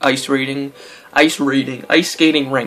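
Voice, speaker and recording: A man's fairly high voice, with fairly even intonation, comes through over noticeable background noise. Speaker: gaming let's player. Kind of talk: gameplay commentary. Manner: casual, halting.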